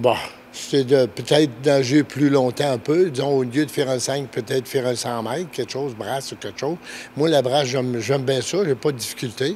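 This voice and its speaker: Amid noticeable background noise, a man of medium pitch speaks at a moderate pace with fairly even intonation. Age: 70s. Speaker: masters swimmer, retiree. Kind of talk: interview answer. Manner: casual, colloquial.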